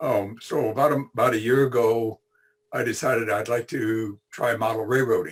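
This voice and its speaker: Fairly even intonation and a moderate pace mark this somewhat breathy delivery. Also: man, medium pitch for a man. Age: 80s+. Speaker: retired electrical engineer, model railroad hobbyist. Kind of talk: presentation (virtual clinic). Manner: halting, many fillers and repetitions.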